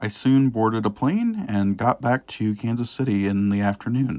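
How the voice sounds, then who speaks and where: This man has a Midwestern accent, and his pitch varies in an ordinary way. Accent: Midwest. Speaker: train hobby YouTuber. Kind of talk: narrated trip recap voiceover.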